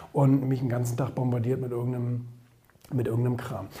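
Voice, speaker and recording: A man's voice comes with audible room echo. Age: 30s. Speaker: entrepreneur and social media commentator. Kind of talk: opinion monologue. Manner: hesitant with many fillers.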